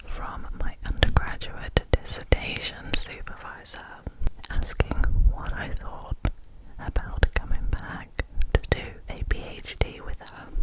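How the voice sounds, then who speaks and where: Someone whispers at a very slow pace. Noticeable background noise runs underneath. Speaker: scientist with a PhD. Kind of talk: ASMR whisper ramble. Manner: whispered, soft-spoken.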